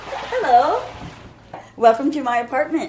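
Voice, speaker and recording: Noticeable background noise accompanies a woman with an American accent talking at a moderate pace and a high pitch. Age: 60s. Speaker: formerly homeless woman. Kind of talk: interview. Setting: her apartment. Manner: animated.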